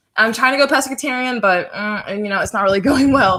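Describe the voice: The speaker is a woman with a fairly bright tone. Her pitch varies in an ordinary way.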